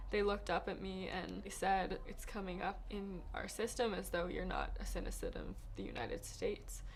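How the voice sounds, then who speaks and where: Delivered at a moderate pace, the speech has hardly any pauses. Audible room echo hangs on the voice. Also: woman. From New York. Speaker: college student. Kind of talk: testimony.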